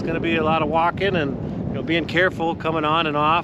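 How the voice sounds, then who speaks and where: Over noticeable background noise and audible room echo, a man speaks at a very fast pace in a high pitch. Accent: American. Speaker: outdoor fishing video host. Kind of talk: casual outdoor report. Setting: outdoors on a frozen lake. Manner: casual, conversational.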